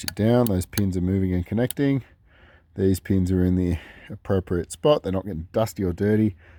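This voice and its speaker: With an Australian accent, a man speaks at a fairly quick pace in a very deep, low pitch, with ordinary pitch variation. His tone is dark and mellow, and the sound is dry and close with no echo. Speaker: DIY car video maker. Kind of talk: tutorial. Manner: casual.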